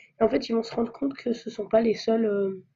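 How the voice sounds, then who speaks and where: The voice is somewhat breathy with a dark, mellow tone and moves at a fairly quick pace. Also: woman. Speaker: amateur fanfiction writer. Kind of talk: casual talk to camera.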